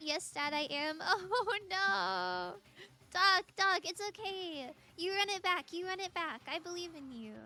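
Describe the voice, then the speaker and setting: A woman's extremely high, raised and projected voice in an American accent, bright and sharp in tone, fairly slow, with big swings in loudness. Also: ordinary pitch variation. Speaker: streamer. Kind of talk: casual chat while gaming on stream. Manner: chatty, friendly.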